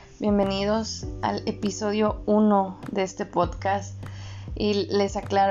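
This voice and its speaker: Background noise is clearly audible. The voice is a woman's. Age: 20s. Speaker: podcast co-host. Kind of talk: casual chat.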